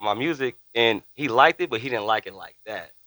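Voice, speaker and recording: In a very clean recording with a silent background and a dry, close sound free of echo, a man with an American accent talks fairly quickly in a bright, sharp tone with lively intonation. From Northern California, Bay Area (Fairfield). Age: 50s. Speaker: rapper. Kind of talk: casual interview chat.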